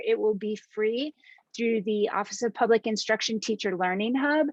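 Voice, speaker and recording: A woman with an unremarkable speaking voice talks at a moderate pace, her pitch fairly high and its variation ordinary. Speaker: science outreach educator. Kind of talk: presentation to teachers.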